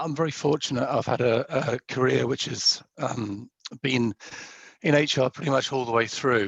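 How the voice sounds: Putting on a raspy, croaky character voice, a man speaks at a medium pitch and a moderate pace.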